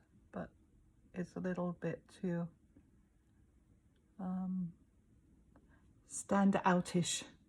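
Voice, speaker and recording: A somewhat breathy woman's voice, fairly low in pitch, dark and mellow in tone, with monotone, flat intonation. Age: 60s. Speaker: makeup tutorial presenter. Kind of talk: casual talk to camera. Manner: self-deprecating, hesitant.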